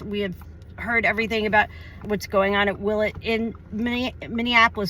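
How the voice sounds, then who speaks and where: Loud and bright, sharp in tone, a woman speaks at medium pitch and a moderate pace with vocal fry. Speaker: activist video host interviewer. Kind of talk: casual outdoor interview. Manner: animated.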